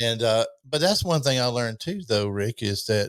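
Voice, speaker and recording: A man's unremarkable speaking voice at medium pitch, dry and close with no echo, in a very clean recording with a silent background. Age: 60s. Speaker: podcast host. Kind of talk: interview. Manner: casual, conversational.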